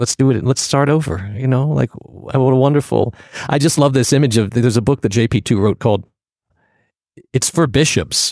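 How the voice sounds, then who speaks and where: A man with an American accent talks at a fairly quick pace and medium pitch, with vocal fry and ordinary pitch variation. The very clean recording has a silent background and a dry, close sound with no echo. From US, Virginia (Portsmouth). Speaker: acting professor and acting coach. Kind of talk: casual interview.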